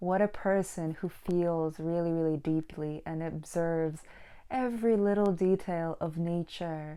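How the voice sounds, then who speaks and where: On a very clean recording with a silent background, a woman with a dark, mellow tone speaks fairly slowly at a fairly low pitch with fairly even intonation. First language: not English. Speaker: book vlogger and painter. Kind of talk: casual monologue; reading aloud.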